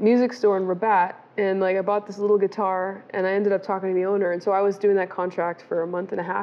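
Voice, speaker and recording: A woman talks very fast with fairly even intonation. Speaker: interview guest. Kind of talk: interview answer. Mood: warm, reflective storytelling. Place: bar. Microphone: lapel.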